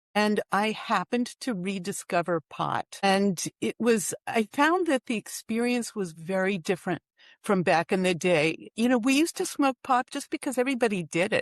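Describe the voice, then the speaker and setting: A woman with an unremarkable speaking voice talks at a moderate pace in a medium pitch, her intonation lively and her speech hardly pausing, over a quiet background in a dry, close recording with no echo. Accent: American. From US East Coast, Washington DC. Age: 60s. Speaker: author. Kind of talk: interview. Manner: casual with many fillers.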